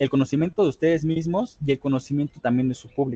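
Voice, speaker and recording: A man speaks in a dark, mellow tone with fairly even intonation, the sound dry and close with no echo. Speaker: public speaking trainer. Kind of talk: online workshop lecture. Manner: fast.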